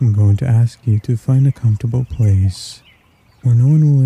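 A man with an ordinary speaking voice at medium pitch, ordinary pitch variation and a moderate pace, in a dry, close sound with no echo. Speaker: guided meditation guide. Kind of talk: guided meditation. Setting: recorded narration with background music. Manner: soft-spoken, hypnotic.

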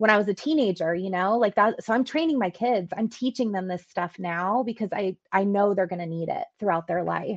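Against a quiet background, a woman speaks at a moderate pace and medium pitch in an unremarkable speaking voice with ordinary pitch variation. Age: 40s. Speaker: event company executive. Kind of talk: casual interview.

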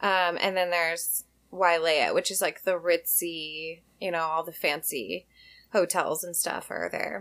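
On a very clean recording with a silent background, a woman with an American accent speaks at a fairly slow pace with fairly even intonation. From Washington State, US (Tacoma/Olympia area). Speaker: small craft business owner. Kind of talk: casual interview chat.

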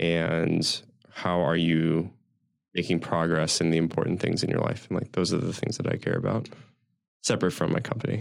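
A man talks at a moderate pace with a very deep, low pitch and ordinary pitch variation. He has an American accent and keeps his loudness very even. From US Mid-Atlantic (Washington DC area). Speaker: tech company founder. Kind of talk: interview.

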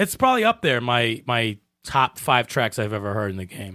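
Delivered at a moderate pace, the speech comes in an unremarkable speaking voice. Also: man. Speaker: podcast co-host. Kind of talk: casual chat, live stream. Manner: casual, profane.

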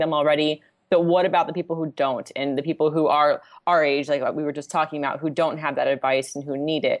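A woman is speaking. Her pace is very fast. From Southern California. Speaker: financial planner. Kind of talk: casual interview chat.

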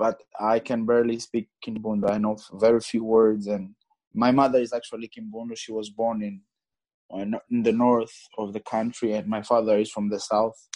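A man with a medium-pitched voice and a dark, mellow tone speaks at a moderate pace in a flat monotone. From Angola. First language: Portuguese. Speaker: guest from abroad. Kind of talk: casual chat. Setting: remote call.

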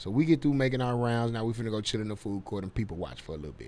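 The speaker has an American accent. Their pitch variation is ordinary. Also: man. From Dallas, Texas. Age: 30s. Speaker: comedian. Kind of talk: casual chat. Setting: studio.

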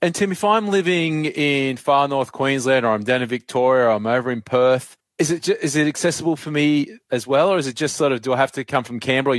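Talking at a fairly quick pace with hardly any pauses, a man with an Australian accent uses a medium pitch and ordinary pitch variation on a very clean recording with a silent background. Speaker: podcast host and journalist. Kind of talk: interview.

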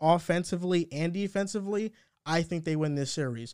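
On a very clean recording with a silent background, a man talks at a high pitch with ordinary pitch variation. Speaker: podcast host. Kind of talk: casual sports podcast chat.

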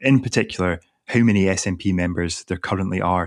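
Speaking with a Scottish accent and ordinary pitch variation, the voice comes through on a very clean recording with a silent background. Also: man. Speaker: political journalist. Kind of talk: casual chat.

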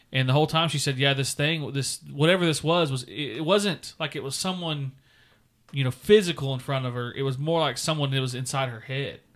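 On a very clean recording with a silent background, a man with an ordinary speaking voice talks at a fairly quick pace, his pitch fairly high with ordinary pitch variation. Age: 20s. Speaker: podcast co-host. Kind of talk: casual chat.

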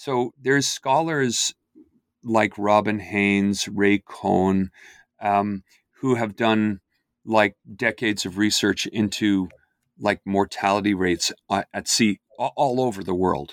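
A man with a fairly low pitch speaks at a very slow pace with ordinary pitch variation, in a dry, close sound with no echo on a very clean recording with a silent background. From Ireland, Dublin. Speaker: history professor. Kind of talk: interview.

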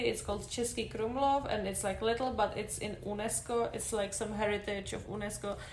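Speaking with a Czech accent, a woman keeps a fairly high pitch, fairly even intonation and a fairly quick pace. Audible room echo and noticeable background noise surround her. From Czech Republic. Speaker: podcast guest. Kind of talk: casual chat.

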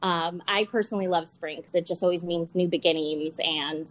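A woman speaks with an American accent and a fairly low pitch. Her tone is upbeat and enthusiastic. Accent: Western New York, Canadian-tinged. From Buffalo, New York. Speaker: podcast host. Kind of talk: interview, casual chat. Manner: upbeat, enthusiastic.

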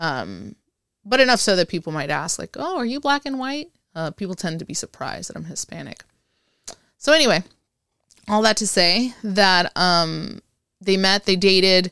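A woman at medium pitch and moderate pace, with long, frequent pauses, big swings in loudness and lively intonation, in a very clean recording with a silent background and a dry, close sound with no echo. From Puerto Rico, raised in Texas and Panama. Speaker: Air Force veteran. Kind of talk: casual interview. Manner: animated.

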